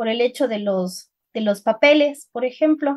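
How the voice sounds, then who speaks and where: A woman with a Cuenca Ecuadorian accent speaks in a high voice with ordinary pitch variation. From Ecuador, Cuenca. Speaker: writer. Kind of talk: interview conversation. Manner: halting, many repetitions and fillers.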